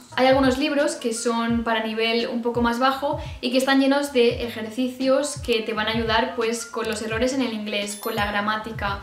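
A woman talks at a moderate pace with hardly any pauses, her pitch fairly high. Faint music plays in the background, and room echo is audible. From Spain. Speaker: YouTuber. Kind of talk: casual talk to camera. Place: home room.

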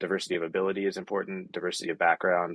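With an American accent, a man speaks at a very fast pace and a very deep, low pitch. The sound is dry and close with no echo. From US. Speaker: recruiter. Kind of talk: panel discussion. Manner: halting, many filler words.

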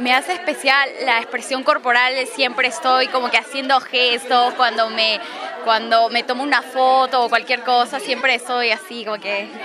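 Crowd noise fills the background as the speaker talks at a moderate pace with fairly even intonation. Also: woman, high pitch for a woman. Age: 20. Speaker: beauty contest finalist. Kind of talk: casual interview. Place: hall. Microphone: handheld.

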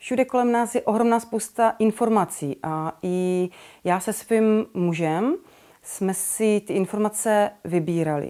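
The tone is dark and mellow, with ordinary pitch variation. Delivery is fairly slow over a quiet background. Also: woman, medium pitch for a woman. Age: 30s. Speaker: expectant mother giving a course testimonial. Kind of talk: testimonial. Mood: warm, calm, reflective. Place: home room.

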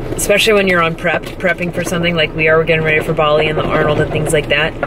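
The speech sounds dry with no echo, with noticeable background noise behind it. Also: woman. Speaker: fitness competitor vlogger. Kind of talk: casual vlog chat. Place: car. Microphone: phone near.

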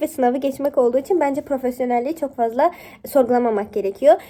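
A woman talks very fast in a high voice with a dark, mellow tone. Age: 20s. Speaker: YouTuber and university student. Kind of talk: tutorial.

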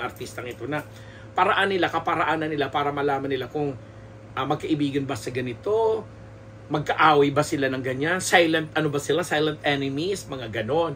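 A man with a fairly high pitch at a fairly quick pace, over light background noise. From Philippines. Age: 50s. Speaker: showbiz columnist and podcaster; podcaster. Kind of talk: solo podcast commentary. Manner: halting with many fillers and repetitions. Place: home room. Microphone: studio mic.

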